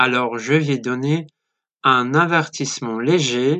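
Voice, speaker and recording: In a bright, sharp tone, a man speaks at a very slow pace, with a dry, close sound and no echo. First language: Polish (speaking French). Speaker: listener, French learner. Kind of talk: recorded voice message.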